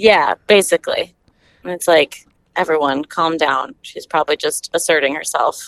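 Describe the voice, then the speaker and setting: A woman's voice at a moderate pace, dry and close with no echo. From Minnesota (Stillwater). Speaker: medical student. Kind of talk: casual chat.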